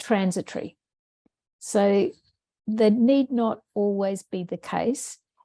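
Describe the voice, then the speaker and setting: Speaking with an Australian accent, a woman has a fairly high, somewhat breathy voice and a dark, mellow tone, recorded with a dry, close sound and no echo. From Australia, Brisbane. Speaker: education researcher and former maths teacher. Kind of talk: webinar presentation Q&A. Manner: casual, conversational.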